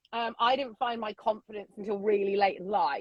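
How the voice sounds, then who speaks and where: A woman with a British accent, fairly high in pitch, with ordinary pitch variation. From England. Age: 50s. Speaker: social media influencer. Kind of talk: casual interview chat. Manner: loud.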